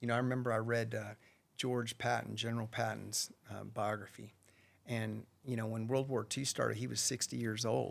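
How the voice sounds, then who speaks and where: With fairly even intonation, an unremarkable speaking voice talks at a moderate pace. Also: man. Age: 60s. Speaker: rancher and businessman. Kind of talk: podcast interview.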